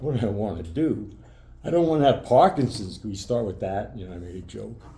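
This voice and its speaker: A man's fairly low, dark, mellow, somewhat breathy voice with an American accent, lively intonation, a fairly quick pace, big swings in loudness and audible room echo. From New York (Brooklyn). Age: 70s. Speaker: retired sports broadcaster with Parkinson's. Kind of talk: interview. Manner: halting.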